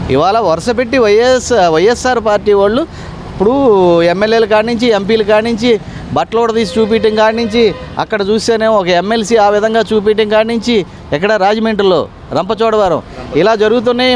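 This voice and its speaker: A man with a high voice speaks at a very even loudness over noticeable background noise. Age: old. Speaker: member of the public. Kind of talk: street interview. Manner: animated.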